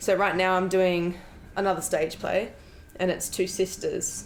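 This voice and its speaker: In an Australian accent, a woman talks. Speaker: actress. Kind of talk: interview.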